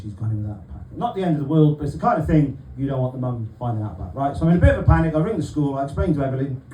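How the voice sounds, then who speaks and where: A man with a Welsh accent, medium pitch, and lively intonation, talking at a very fast pace with audible room echo. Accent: Welsh, noticeable. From South Wales, Barry. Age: 40s. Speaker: stand-up comedian. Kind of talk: stand-up. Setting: stage with audience.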